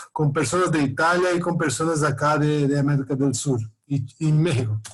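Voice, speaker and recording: With audible room echo around him, a man talks at a fairly quick pace in a somewhat breathy voice, keeping very even loudness and fairly even intonation. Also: fairly high pitch for a man. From Brazil. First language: Portuguese (speaking Spanish). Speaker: professor. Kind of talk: lecture. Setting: video call. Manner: halting, many repetitions and fillers.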